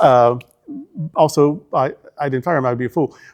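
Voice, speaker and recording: Music plays in the background as a man speaks at a moderate pace. He has an American accent. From Arkansas, US South. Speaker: senior minister. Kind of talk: interview.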